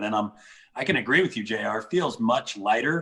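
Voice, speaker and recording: At a fairly quick pace, a man speaks at a medium pitch with a bright, sharp tone. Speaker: leadership discussion host. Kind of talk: casual group discussion on a call. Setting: online group call. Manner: halting, stumbling over words.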